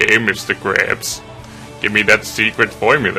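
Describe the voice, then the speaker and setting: A man strains through a put-on character voice at a medium pitch and moderate pace, with clear music in the background. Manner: scheming, demanding.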